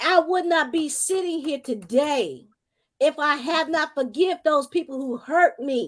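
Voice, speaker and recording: Talking at a fairly slow pace, a woman uses a high pitch. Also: ordinary pitch variation, very clean recording, silent background. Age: 60s. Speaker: minister, panel guest. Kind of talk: panel discussion. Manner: emphatic, preacherly.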